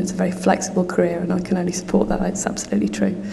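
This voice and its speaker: At a very fast pace, a woman with a medium pitch speaks amid audible room echo and noticeable background noise. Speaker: conference speaker, translation company manager. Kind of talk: conference talk. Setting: conference hall with audience.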